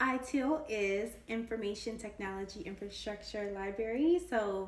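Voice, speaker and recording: Her tone animated, a woman with a fairly high pitch and ordinary pitch variation speaks with audible room echo and noticeable background noise. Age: 20s. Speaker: tech career YouTuber. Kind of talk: casual vlog. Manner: fast.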